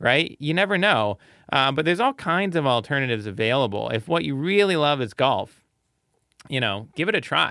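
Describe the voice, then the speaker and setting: A man talks in a normal speaking voice at a fairly high pitch. His intonation is lively, and his pace is moderate. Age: 30s. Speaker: research fellow and journal editor. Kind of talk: casual panel discussion.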